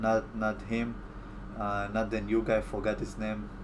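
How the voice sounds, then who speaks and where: A man with an Israeli accent, with audible room echo. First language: Hebrew. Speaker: YouTube commentator. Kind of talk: live stream Q&A. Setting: live stream from home. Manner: halting.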